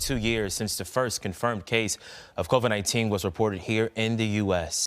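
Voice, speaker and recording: Here a man is speaking. His pitch is medium. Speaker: TV news anchor. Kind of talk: TV news read.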